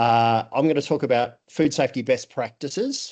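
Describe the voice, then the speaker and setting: A man's medium-pitched voice with a dark, mellow tone and an Australian accent. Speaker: food safety trainer and auditor. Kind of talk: conference presentation. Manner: halting, many fillers.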